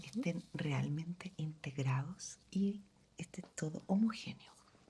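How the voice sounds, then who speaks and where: A woman speaks very slowly in a dark, mellow, somewhat breathy voice with ordinary pitch variation. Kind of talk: ASMR roleplay.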